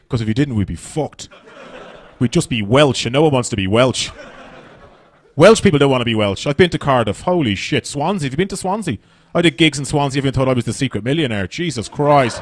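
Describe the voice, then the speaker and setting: Here a man with an Irish accent talks at a very fast pace. His medium-pitched voice carries lively intonation. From Ireland. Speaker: stand-up comedian. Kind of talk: stand-up. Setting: stage with audience.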